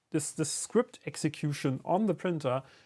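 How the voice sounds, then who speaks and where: A man with a German accent, high-pitched, at a moderate pace with lively intonation. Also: very clean recording, silent background. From Germany. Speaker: 3D printing YouTuber. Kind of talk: live stream tutorial. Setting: workshop live stream. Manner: casual, hesitant with fillers.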